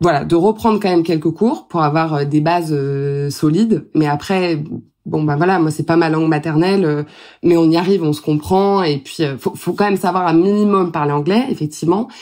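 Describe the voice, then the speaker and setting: Here a woman's fairly low voice has a dark, mellow tone and ordinary pitch variation at a moderate pace. It's a very clean recording with a silent background. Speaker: wedding planner. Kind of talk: podcast interview. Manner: hesitant, many fillers.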